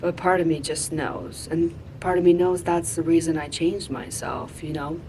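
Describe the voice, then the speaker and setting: A woman's very deep, low voice at a moderate pace, fairly even in intonation, with audible room echo. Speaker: vlogger. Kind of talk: personal reflection vlog. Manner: loud; casual.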